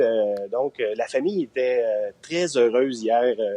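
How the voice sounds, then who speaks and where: A man at a very slow pace with ordinary pitch variation, dry, close sound with no echo, and noticeable background noise. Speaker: residence deputy director. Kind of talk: interview answer.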